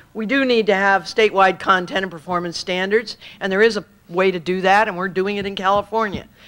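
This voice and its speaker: A woman's medium-pitched voice moves along at a fairly quick pace. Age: 50s. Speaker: state education superintendent. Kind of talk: public speech at a luncheon forum. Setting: luncheon meeting with audience. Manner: animated.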